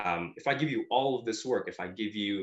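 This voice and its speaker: At a fairly quick pace, a man talks with ordinary pitch variation in an unremarkable speaking voice. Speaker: digital marketing agency founder. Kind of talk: interview.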